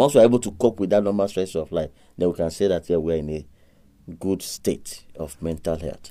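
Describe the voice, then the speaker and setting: A man talks at a fairly quick pace in a very deep, low voice with ordinary pitch variation. His tone is dark and mellow. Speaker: doctor. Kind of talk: radio interview.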